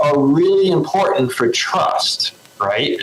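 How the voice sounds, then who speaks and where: Speaking at a very slow pace with a Southern US accent, a man is heard against noticeable background noise. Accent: Southern twang. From North Carolina. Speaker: hurricane center official. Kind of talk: interview.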